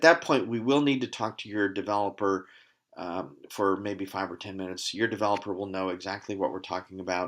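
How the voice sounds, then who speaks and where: A man talks at a fairly quick pace in a fairly low pitch with ordinary pitch variation. It's an unremarkable speaking voice on a very clean recording with a silent background. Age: 60s. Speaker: company CEO presenting his product. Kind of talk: sales pitch. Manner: casual, with frequent fillers.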